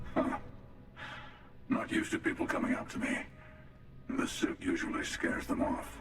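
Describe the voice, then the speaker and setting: A man uses a put-on character voice at an extremely high pitch, speaking at a moderate pace with long, frequent pauses. Clear background noise and clear echo fill the recording. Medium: video game. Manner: dry, wry.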